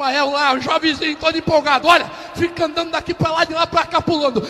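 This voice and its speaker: Amid noticeable background noise, a man talks at a very fast pace in a raised, projected voice with an animated tone and an extremely high pitch. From Rio de Janeiro, Baixada Fluminense. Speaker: pastor. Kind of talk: testimony.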